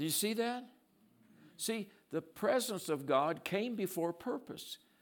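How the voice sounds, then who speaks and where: Using lively intonation, a man speaks at a very slow pace. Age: 70s. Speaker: guest preacher. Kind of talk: sermon. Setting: church with congregation.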